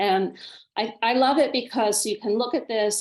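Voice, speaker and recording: Her pitch is fairly high for a woman. She has a normal speaking voice. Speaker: nonprofit grants committee chair. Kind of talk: training workshop presentation.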